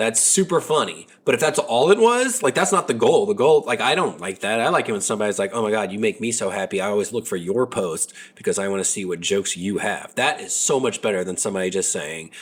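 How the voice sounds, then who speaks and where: Over noticeable background noise, a man with an American accent talks very fast in an animated tone, hardly pausing at all. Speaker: podcast host. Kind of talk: casual chat.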